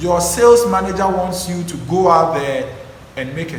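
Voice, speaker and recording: With a Ghanaian accent, a man talks at a fairly high pitch over noticeable background noise and audible room echo. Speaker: public speaking coach. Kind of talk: tutorial. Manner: animated.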